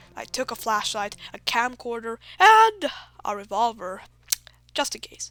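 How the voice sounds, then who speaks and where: Music plays in the background as a woman speaks fairly slowly at a fairly high pitch. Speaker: horror story narrator. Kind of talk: horror story narration.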